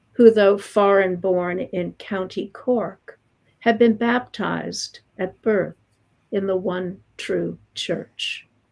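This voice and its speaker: Speaking in an American accent, a woman talks at a very slow pace with fairly even intonation. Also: medium pitch for a woman. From US Northeast, Long Island, New York. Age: 70s. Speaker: poet. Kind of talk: poetry reading; interview talk.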